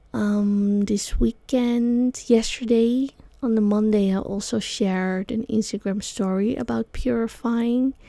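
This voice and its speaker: A woman's very slow, fairly even delivery in a dark, mellow tone, with a Dutch accent. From Netherlands, Amsterdam. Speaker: sound healer and yoga teacher, podcast host. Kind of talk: solo podcast talk. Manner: halting, many fillers.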